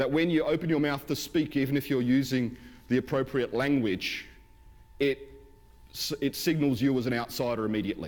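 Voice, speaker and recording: A man with an Australian accent, medium pitch, and a fairly quick pace. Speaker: pastor. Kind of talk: sermon. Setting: church.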